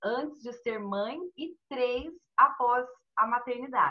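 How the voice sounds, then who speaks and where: A woman with a fairly high pitch, very slow pace and lively intonation. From Brazil, Minas Gerais (Poços de Caldas). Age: 40s. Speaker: amateur runner and bank employee. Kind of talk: casual chat.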